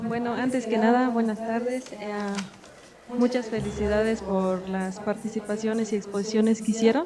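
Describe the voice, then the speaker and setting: Speaking at a moderate pace over noticeable background noise, a woman keeps her fairly high pitch monotone and flat. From Tila, Chiapas, Mexico. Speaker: audience member. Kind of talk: audience comment. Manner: halting.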